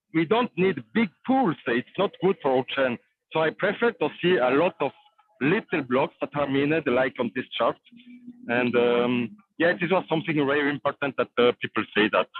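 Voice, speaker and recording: A man with a non-native accent, fairly high in pitch, lively intonation, moderate pace, very even loudness. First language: not English. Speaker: crypto developer. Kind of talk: casual chat. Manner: halting.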